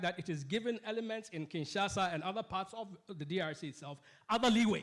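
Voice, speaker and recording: Loud, very fast speech from a man with a high pitch and ordinary pitch variation. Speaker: political economist and panellist. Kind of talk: panel discussion. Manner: halting, many false starts.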